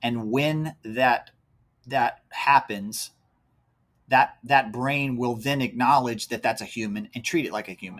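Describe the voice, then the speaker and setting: In an American accent, a man with a plain, everyday voice speaks at a fairly slow pace and medium pitch, with ordinary pitch variation and big swings in loudness. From Central Virginia, rural county near Charlottesville. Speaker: race organizer and apparel company founder. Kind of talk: casual interview.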